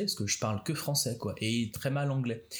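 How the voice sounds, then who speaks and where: The man's voice comes across somewhat breathy. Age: 30s. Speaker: podcast host. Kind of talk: casual chat. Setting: at home on a couch.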